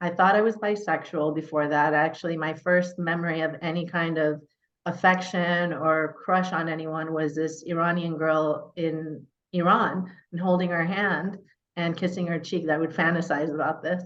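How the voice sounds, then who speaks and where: Speaking at a moderate pace in a Californian accent, a woman keeps her fairly low pitch in a flat monotone. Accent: Californian American English. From Northern California. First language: Persian. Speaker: mayor. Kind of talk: interview, personal life story. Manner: conversational with fillers.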